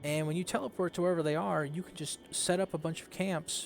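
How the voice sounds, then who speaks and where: A man mumbles his words. His pitch sits fairly high. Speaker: gaming commentator. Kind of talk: gameplay tutorial. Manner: mumbling; casual, hesitant with fillers.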